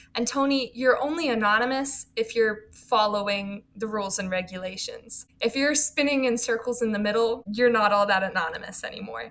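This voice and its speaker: A woman's fairly high voice, a normal speaking voice, at a moderate pace with ordinary pitch variation. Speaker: college student. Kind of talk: casual interview chat. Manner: fluent, articulate.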